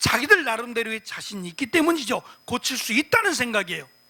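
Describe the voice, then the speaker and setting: A man's raised, projected voice, bright and sharp in tone, moves at a fairly quick pace. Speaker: pastor. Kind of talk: sermon. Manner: fast.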